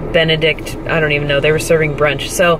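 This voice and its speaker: Against noticeable background noise, a woman with a fairly low pitch is heard in a dry sound with no echo. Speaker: fitness competitor vlogger. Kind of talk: casual vlog chat. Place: car. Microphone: phone near.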